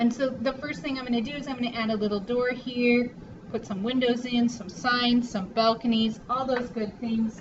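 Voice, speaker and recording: A woman speaks at a high pitch and a moderate pace, monotone with flat intonation. Noticeable background noise is present. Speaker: art teacher. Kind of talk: tutorial. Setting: recorded drawing lesson video. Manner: casual.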